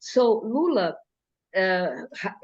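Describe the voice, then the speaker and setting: A woman speaks with a Brazilian Portuguese accent. Her pitch is fairly high. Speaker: mental health carnival group organizer. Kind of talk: Q&A talk. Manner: halting.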